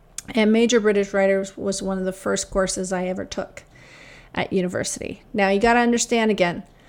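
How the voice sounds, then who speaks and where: In an unremarkable speaking voice, a woman with a Canadian accent talks at a moderate pace and medium pitch. The recording is very clean, with a silent background. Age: 50s. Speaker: podcast host, academic. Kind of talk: casual monologue, storytelling. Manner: many filler uhs.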